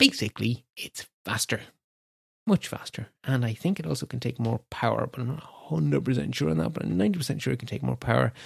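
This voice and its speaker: A man's medium-pitched voice in an Irish accent, very fast, with vocal fry and very wide pitch swings, in a very clean recording with a silent background and a dry, close sound with no echo. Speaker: tech podcast host. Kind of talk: solo news roundup. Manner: rambling, conversational.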